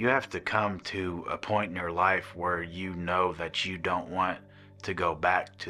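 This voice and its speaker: With music in the background, a man with an American accent talks at a very slow pace in a very deep, low pitch and a monotone, flat intonation. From Missouri. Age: 40s. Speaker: rehab program resident. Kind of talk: testimony. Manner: halting, many fillers.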